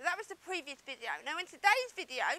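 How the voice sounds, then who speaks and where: A woman's raised, projected voice at a fairly quick pace, with ordinary pitch variation. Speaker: business coach. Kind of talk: online marketing video talk to camera.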